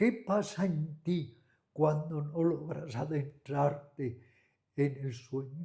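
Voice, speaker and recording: A very slow, somewhat breathy delivery with a dark, mellow tone and ordinary pitch variation. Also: man, fairly high pitch for a man. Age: 80s+. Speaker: meditation and yoga teacher. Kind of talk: interview conversation. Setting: at a friend's home.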